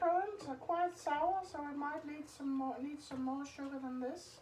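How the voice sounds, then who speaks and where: A woman with a non-native accent speaks at a high pitch with ordinary pitch variation. Audible room echo surrounds her voice. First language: Danish. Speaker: home cooking youtuber. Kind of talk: tutorial. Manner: casual, halting.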